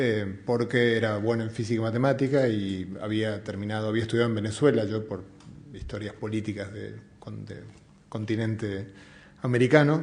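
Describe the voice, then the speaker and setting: With an Argentine accent, this man speaks at a moderate pace in a fairly low, somewhat breathy voice, his loudness swinging widely and his intonation fairly even, with audible room echo. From Argentina. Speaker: physicist and science communicator. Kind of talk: public talk. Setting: museum event with audience. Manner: hesitant, many fillers.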